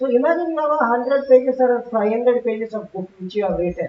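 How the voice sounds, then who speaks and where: A woman's high voice at a very fast pace, with ordinary pitch variation. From South India. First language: Telugu. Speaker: conference speaker, technology executive. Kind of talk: conference talk. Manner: conversational, frequent fillers.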